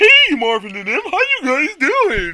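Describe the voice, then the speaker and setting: The speaker uses a put-on character voice pitched high. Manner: cheerful greeting.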